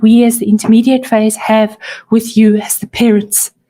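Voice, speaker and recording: The woman's fairly high voice carries a dark, mellow tone. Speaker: teacher. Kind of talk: parent information talk.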